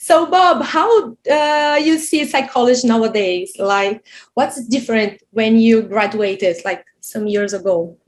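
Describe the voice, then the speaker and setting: Fairly slow speech from a woman with a Brazilian Portuguese accent, on a very clean recording with a silent background. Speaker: interviewer, psychology teacher. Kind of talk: interview. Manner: halting.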